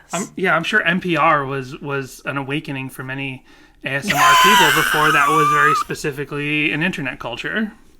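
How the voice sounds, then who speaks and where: Over noticeable background noise, a man with an American accent talks at a fairly quick pace in a fairly high pitch with ordinary pitch variation. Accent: Boston accent, comes back after visits. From Boston area, US Northeast. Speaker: podcast co-host. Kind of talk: casual chat.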